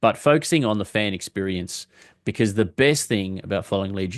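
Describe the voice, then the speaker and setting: Here a man speaks with an Australian accent. The background is quiet. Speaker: football fan vlogger. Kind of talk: casual monologue. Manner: hesitant, with fillers.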